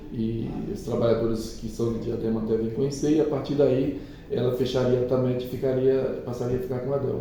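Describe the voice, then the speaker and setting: A man with a medium pitch talks at a very fast pace. Noticeable background noise and audible room echo are present. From Alagoas, Brazilian Northeast. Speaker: trade union leader. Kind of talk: interview. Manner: halting.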